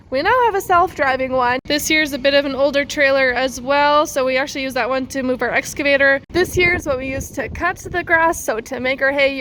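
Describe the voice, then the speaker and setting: Over noticeable background noise, a woman speaks at a fairly quick pace with a high pitch and ordinary pitch variation. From Canada, central Alberta. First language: German. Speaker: farmer. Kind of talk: farm tour vlog.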